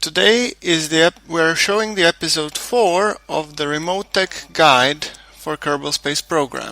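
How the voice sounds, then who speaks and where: Over noticeable background noise, a man with a non-native accent speaks at a fairly slow pace in a fairly high pitch. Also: ordinary pitch variation. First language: not English. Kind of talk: game tutorial commentary. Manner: stuttering, hesitant.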